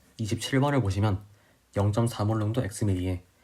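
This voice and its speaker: Somewhat breathy and dark, mellow in tone, a man speaks at a fairly low pitch and a moderate pace with ordinary pitch variation. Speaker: chemistry tutor. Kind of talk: tutorial. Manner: slurring words.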